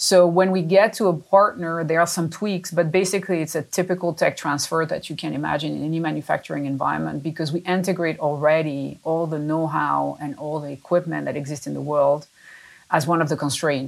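A woman with a very deep, low pitch talks at a fairly quick pace and keeps her intonation fairly even. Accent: French. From France. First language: French. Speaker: company chief executive. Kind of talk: interview.

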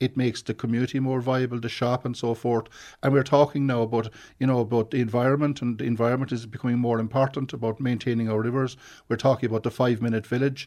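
A man with a Cork accent talks at a very fast pace in a flat monotone. The background is quiet. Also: medium pitch for a man. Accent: Cork Irish. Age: 50s. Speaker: local councillor. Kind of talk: radio interview. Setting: studio. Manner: halting, repeats words.

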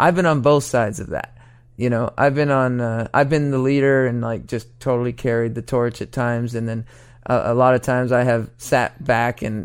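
With an American accent, a man talks at a moderate pace in an unremarkable speaking voice, medium in pitch with ordinary pitch variation. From Oregon, US Pacific Northwest. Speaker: songwriter and record producer. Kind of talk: interview. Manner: casual, many fillers.

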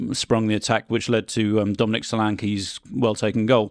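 The sound is dry and close, with no echo, as a man speaks at a fairly low pitch. His moderate pace comes with a monotone, flat intonation. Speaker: sports editor and reporter. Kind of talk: casual sports chat. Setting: studio.

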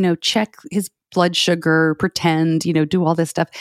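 In a very clean recording with a silent background, a woman with a fairly low pitch sounds dry and close, with no echo. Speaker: podcaster and parent of a child with diabetes. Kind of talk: interview. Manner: fast when excited.

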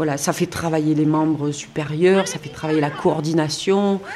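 Over noticeable background noise, a woman speaks at a very deep, low pitch. Her intonation is flat and monotone. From Marseille, southern France. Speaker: surgeon and rugby club president. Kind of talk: interview. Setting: outdoors.

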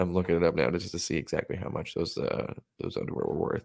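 A man speaks at a very fast pace in a very deep, low voice. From Las Vegas, US West. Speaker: podcast co-host. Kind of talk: casual chat.

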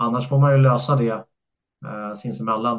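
This is an ordinary speaking voice from a man at a medium pitch. He talks at a fairly quick pace. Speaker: floorball referee. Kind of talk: casual interview.

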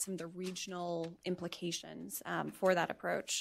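A woman speaks in an ordinary speaking voice at a medium pitch and a moderate pace. The recording is very clean, with a silent background. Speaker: policy panelist. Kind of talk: panel presentation.

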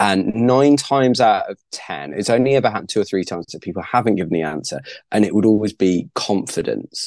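This voice has vocal fry and very wide pitch swings, in a British accent at a fairly quick pace. The sound is dry and close with no echo, over a quiet background. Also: man. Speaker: stand-up comedian and author. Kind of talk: casual interview chat.

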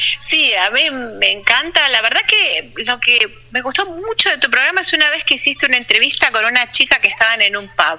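A woman's raised, projected voice, high-pitched, at a fairly quick pace with very wide pitch swings, amid noticeable background noise. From Argentina, Buenos Aires province (Punta Alta). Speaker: physicist living abroad. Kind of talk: interview.

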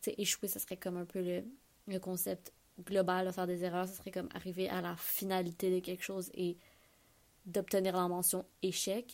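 A woman with a Quebec accent speaks at medium pitch and a fairly slow pace. Her intonation is monotone and flat. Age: 20s. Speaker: podcast host. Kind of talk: solo monologue. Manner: casual, hesitant.

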